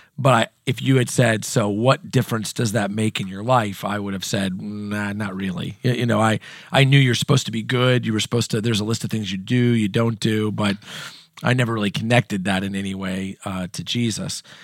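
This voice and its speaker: An ordinary speaking voice, a man with an American accent, fairly low in pitch, ordinary pitch variation, fairly quick pace. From US Midwest (Southern Indiana). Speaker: pastor. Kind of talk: personal testimony in interview.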